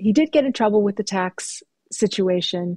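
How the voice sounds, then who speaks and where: In a Californian accent, a woman at medium pitch talks at a fairly slow pace with a dark, mellow tone, the sound dry and close with no echo against a quiet background. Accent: General American, California. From Southern California, Mexican-American. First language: Spanish. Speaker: writer. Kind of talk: interview conversation.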